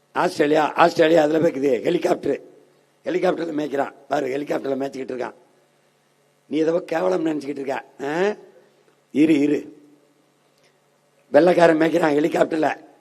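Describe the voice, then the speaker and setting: A man talks in an unremarkable speaking voice with fairly high pitch. His intonation stays fairly even. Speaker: political party leader giving an election campaign speech. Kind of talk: political rally speech.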